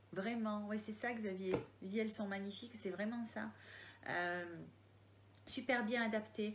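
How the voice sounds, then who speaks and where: Ordinary pitch variation marks this voice with a Marseille accent, heard with audible room echo. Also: woman. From Marseille area, southern France. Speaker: crime novelist. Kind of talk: live Q&A. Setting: online live video. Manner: hesitant, many fillers.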